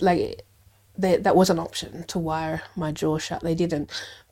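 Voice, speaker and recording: Speaking rather slowly, a woman talks in an Australian accent. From Adelaide, South Australia. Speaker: lawyer and mediator. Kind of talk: casual interview.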